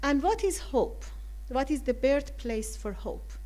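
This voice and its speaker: In a non-native accent, a woman speaks at a very slow pace, with audible room echo. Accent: foreign. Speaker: counselor. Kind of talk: talk to a community forum.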